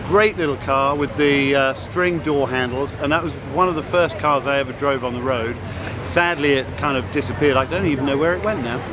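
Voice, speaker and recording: With audible room echo and noticeable background noise, a man speaks at a fairly high pitch and a fairly quick pace, using ordinary pitch variation. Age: 60s. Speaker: car show judge. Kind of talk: interview.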